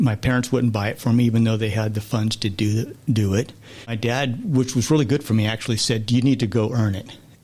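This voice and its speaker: Over music in the background, a man speaks with fairly even intonation. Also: medium pitch for a man, fairly quick pace. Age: 60s. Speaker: guest sharing life story of addiction and recovery. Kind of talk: interview testimony.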